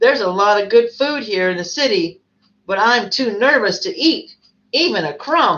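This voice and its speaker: A woman's put-on character voice, fairly high-pitched, at a moderate pace. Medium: read story. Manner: simple, earnest.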